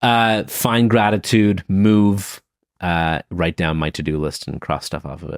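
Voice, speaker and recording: Very deep and low in pitch, a man talks at a fairly slow pace with ordinary pitch variation, in a very clean recording with a silent background and a dry, close sound with no echo. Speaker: leadership author and speaker. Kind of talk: interview answers. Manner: halting with repetitions.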